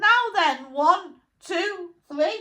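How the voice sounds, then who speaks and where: Raised and projected, a woman's put-on character voice comes out squeaky at an extremely high pitch. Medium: read story. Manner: bossy, brisk.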